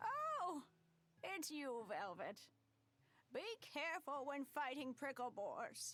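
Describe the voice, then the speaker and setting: Using a put-on character voice at a high pitch, a woman speaks at a fairly slow pace with long, frequent pauses. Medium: video game. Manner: scolding, fond.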